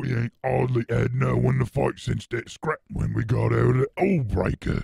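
In a put-on character voice, a man growls as he speaks. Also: fairly low pitch for a man, moderate pace. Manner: menacing, growling.

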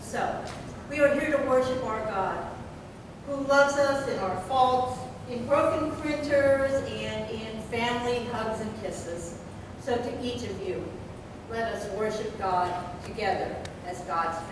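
Amid noticeable background noise and strong room echo, a woman with a high voice speaks at a fairly slow pace with long, frequent pauses. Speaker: pastor leading worship. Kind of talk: sermon. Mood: lighthearted, self-deprecating. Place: church.

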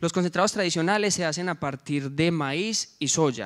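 Against a quiet background, a man talks at a fairly quick pace in a fairly high pitch with ordinary pitch variation. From Colombia, coffee region. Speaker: social entrepreneur, former rural teacher; presenter. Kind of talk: project presentation. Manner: halting, with filler sounds. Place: hall. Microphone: handheld.

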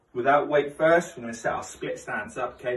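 At a moderate pace, a man speaks with audible room echo around his voice. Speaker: fitness coach. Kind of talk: exercise tutorial. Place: garage. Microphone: camera far.

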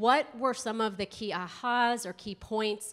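Someone with an American accent talks at a fairly slow pace in a normal speaking voice. The background is quiet. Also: woman. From US East Coast. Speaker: school health consultant, presenter; presenter. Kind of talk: conference workshop presentation. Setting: conference room with live audience and microphone. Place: hall.

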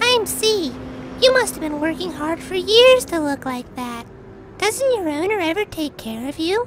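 Over loud background noise, a female-sounding, cartoonish character voice jumps through very wide pitch swings at an extremely high pitch, keeping a moderate pace.

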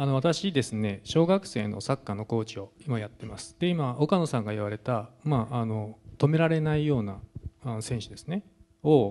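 A man speaks at a moderate pace and a medium pitch, with a dark, mellow tone. His intonation is lively, and his loudness swings a lot. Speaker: sports journalist. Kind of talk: talk show panel. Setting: stage with audience.

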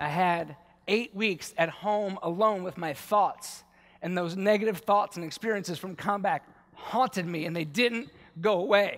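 Against a quiet background, a man speaks at a high pitch with ordinary pitch variation. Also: moderate pace. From Baltimore, US. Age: 40s. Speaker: war veteran and yoga teacher. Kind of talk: conference talk. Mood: earnest, personal storytelling. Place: stage. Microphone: headset.

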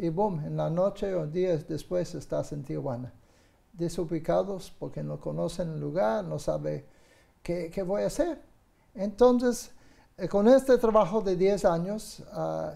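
The speaker is a man with a fairly slow pace. Behind him, the background stays quiet. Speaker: guest. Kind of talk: interview answer. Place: studio. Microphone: lapel.

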